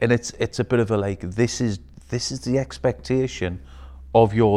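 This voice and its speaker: With a Geordie accent and a dark, mellow tone, the speaker moves at a moderate pace with ordinary pitch variation against a quiet background. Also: man. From northeast England, Newcastle. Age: 50s. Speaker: businessman. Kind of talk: casual chat. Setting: studio.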